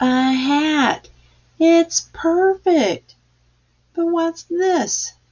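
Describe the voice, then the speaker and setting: In a put-on character voice, a woman talks at an extremely high pitch and a very slow pace, leaving long, frequent pauses. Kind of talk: bedtime story. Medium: read story.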